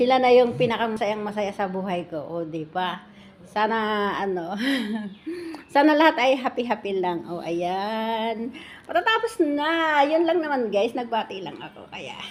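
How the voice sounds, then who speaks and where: A woman with a fairly high pitch speaks fairly slowly with very wide pitch swings and big swings in loudness, over noticeable background noise. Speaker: vlogger, former OFW. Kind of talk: casual vlog greeting. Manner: animated.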